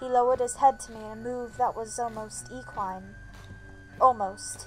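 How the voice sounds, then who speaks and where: A woman speaks with music in the background. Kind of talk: fiction reading.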